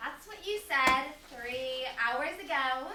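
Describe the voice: A woman's put-on character voice, high-pitched and bright with a sharp tone, lively intonation at a slow pace, and strong room echo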